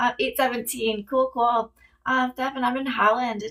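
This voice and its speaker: Her fairly high voice keeps a fairly even intonation as this woman speaks. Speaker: psychic reader answering live viewer questions. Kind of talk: live stream Q&A. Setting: TikTok live stream. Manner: fast.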